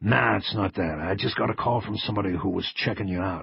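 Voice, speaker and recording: A man's put-on character voice, raspy and very deep and low, at a very fast pace. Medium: read story. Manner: casual, joking.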